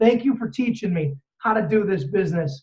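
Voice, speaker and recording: This is a man speaking with a high pitch. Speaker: network marketing trainer. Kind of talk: motivational training talk. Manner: loud; fast.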